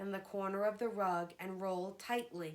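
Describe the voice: With fairly even intonation, this is plain reading aloud.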